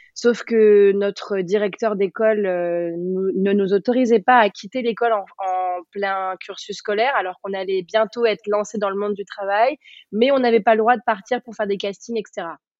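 A woman with a plain, everyday voice at medium pitch and fairly even intonation. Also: moderate pace. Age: 30s. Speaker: yoga teacher and former dancer. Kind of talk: casual interview.

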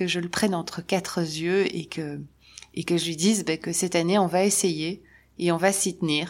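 Her voice fairly low in pitch, a woman speaks in a monotone, flat delivery on a very clean recording with a silent background. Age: 50s. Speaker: podcaster, spiritual coach. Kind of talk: solo podcast monologue. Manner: casual, hesitant with repetitions.

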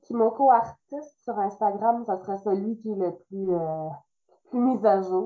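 Her pace is fairly slow, with ordinary pitch variation and a medium pitch. The woman speaks with a Quebec accent. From Quebec, Trois-Rivières area. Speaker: illustrator and author. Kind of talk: interview.

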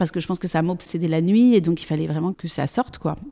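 Dark, mellow tone from a woman at a fairly low pitch, with ordinary pitch variation on a very clean recording with a silent background. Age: 40s. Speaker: actress and speaking coach. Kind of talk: interview testimony. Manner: hesitant.

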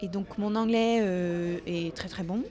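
A woman speaks with a slight Dutch accent amid noticeable background noise. Room echo is audible. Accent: very slight Dutch accent in French. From Netherlands. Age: 30s. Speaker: interviewee. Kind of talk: casual chat. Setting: café. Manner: halting.

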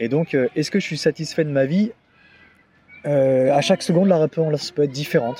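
Speaking at a fairly high pitch with ordinary pitch variation, a man leaves long, frequent pauses. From Normandy, France (Deauville). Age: 30s. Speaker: arts touring administrator. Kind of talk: interview. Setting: face to face. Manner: halting, many repetitions and fillers.

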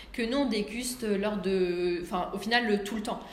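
Her pitch varies in an ordinary way as a woman talks. Both audible room echo and noticeable background noise come through. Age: 30s. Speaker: restaurant owner. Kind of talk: interview. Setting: at her restaurant.

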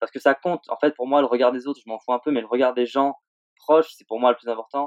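This man's voice sits at a medium pitch, recorded with a dry, close sound and no echo. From Réunion, then Switzerland from age 10. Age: 20s. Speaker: pro snowboarder. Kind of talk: interview. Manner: halting.

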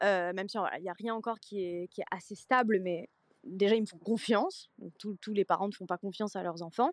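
A plain, everyday voice at a fairly quick pace, with fairly even intonation and a dry, close sound with no echo. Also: woman, medium pitch for a woman. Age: 20s. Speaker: social media content creator. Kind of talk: casual chat.

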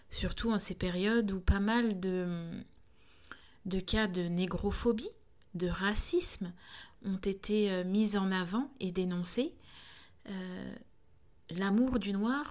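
A woman's very slow speech at medium pitch, with ordinary pitch variation. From France. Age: 30s. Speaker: doula and podcaster. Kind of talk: solo reflective monologue. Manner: halting, frequent hesitations.

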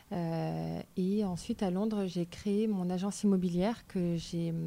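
A woman with a dark, mellow tone speaks in a fairly low, flat monotone on a very clean recording with a silent background. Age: 30s. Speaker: naturopath. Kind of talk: interview. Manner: halting, many fillers.

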